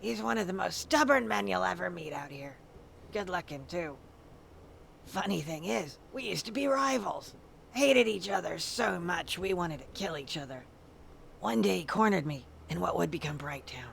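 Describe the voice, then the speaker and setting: A raspy, put-on character voice at a middle pitch, moderate in pace, with very wide pitch swings and clear background noise. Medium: video game. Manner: blunt, plainspoken.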